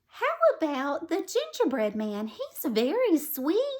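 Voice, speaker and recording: A woman puts on a squeaky character voice at an extremely high pitch. Her pitch swings very widely at a fairly slow pace. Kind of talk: bedtime story. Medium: read story. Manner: warm, gentle.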